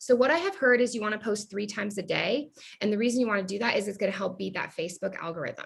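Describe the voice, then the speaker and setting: Her voice sounds somewhat breathy. The woman's pitch is fairly high, with ordinary pitch variation. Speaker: direct sales team leader. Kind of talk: casual chat. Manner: fast; animated.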